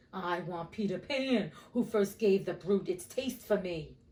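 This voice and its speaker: A woman speaks in a put-on character voice with a husky edge. Her pitch sits in the middle range, and her pace is moderate. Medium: read story. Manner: menacing.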